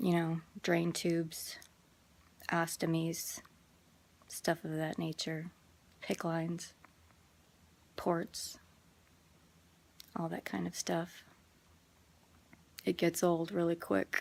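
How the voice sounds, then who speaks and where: A woman's fairly low voice with fairly even intonation, at a very slow pace with long, frequent pauses. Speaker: person with Crohn's disease. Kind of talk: casual talk to camera.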